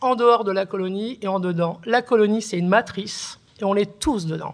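A woman speaks with a plain, everyday voice at a moderate pace and medium pitch. Her intonation is fairly even. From northern France, Oise (born in Algeria). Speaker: writer and art historian. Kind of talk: testimony on a panel.

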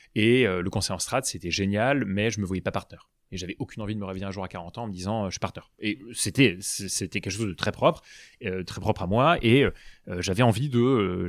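His pitch is fairly low for a man, with ordinary variation. He keeps a fairly quick pace. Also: very clean recording, silent background. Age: 30s. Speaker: startup co-founder. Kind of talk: interview. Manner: animated.

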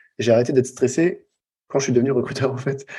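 At a fairly quick pace, a man with a medium pitch and a dark, mellow tone talks with ordinary pitch variation. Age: 40s. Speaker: copywriter and former recruiter. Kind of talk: interview.

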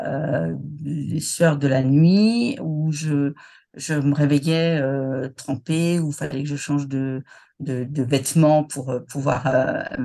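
At a very slow pace and with fairly even intonation, the voice is heard against a quiet background. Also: woman. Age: 60s. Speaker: retiree, former HR manager. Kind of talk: personal testimony interview. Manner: hesitant, many fillers and repetitions.

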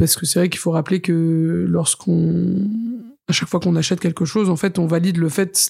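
A woman speaks in an unremarkable speaking voice, fairly low in pitch, with fairly even intonation. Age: 30s. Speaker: chef. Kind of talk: interview.

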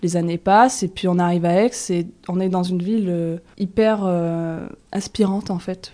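Against a quiet background, a woman with a medium pitch and a dark, mellow tone talks with ordinary pitch variation. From southwestern France, Toulouse region. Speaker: shop co-founder, entrepreneur. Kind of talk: interview. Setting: in a shop.

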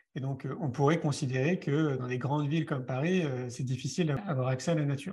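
A man talks in a fairly high, somewhat breathy voice. The background is quiet. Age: 40s. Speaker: author and film director, speaker. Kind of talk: interview. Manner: conversational, with fillers.

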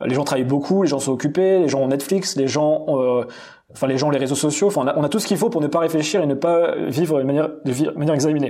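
A man's dark, mellow tone at a fairly high pitch, with ordinary pitch variation and a very fast pace. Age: 30s. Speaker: entrepreneur coach and content creator. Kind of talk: podcast interview. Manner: hesitant, repeats words.

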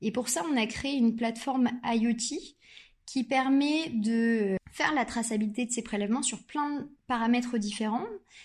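The recording is very clean, with a silent background. A woman speaks fairly slowly in a high pitch with ordinary pitch variation. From Normandy, France. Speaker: startup founder, neuroscientist. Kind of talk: interview.

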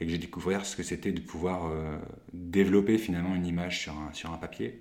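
A man speaks at a very deep, low pitch with fairly even intonation. Audible room echo surrounds the voice. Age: 30s. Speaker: photographer. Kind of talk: casual interview.

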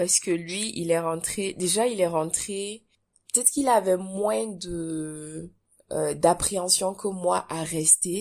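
The delivery is very slow with ordinary pitch variation. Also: woman. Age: young. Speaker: entrepreneur and business coach. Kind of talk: interview.

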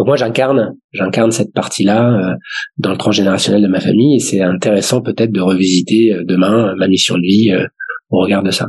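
A man with a plain, everyday voice talks at a fairly quick pace and fairly low pitch, with ordinary pitch variation and very even loudness. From Paris suburbs, France. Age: 40s. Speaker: family business governance consultant. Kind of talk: casual interview. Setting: remote recording from home.

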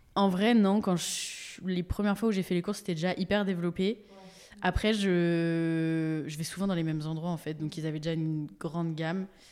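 This is a plain, everyday voice at a moderate pace. Its intonation is fairly even. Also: woman, fairly low pitch for a woman. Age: 20s. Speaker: social media creator with coeliac disease. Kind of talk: casual interview chat. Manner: casual, many fillers and laughs.

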